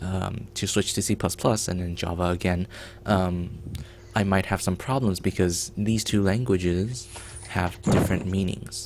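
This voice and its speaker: With a Mandarin accent, a man speaks at a moderate pace, his very deep, low voice held in fairly even intonation. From China. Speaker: game developer streamer. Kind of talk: live coding stream chat. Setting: live stream.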